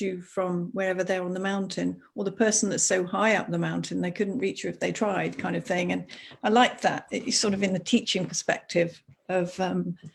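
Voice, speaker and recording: Her medium-pitched voice carries vocal fry, and the woman keeps her intonation fairly even. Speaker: school teacher and coach. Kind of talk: live video interview.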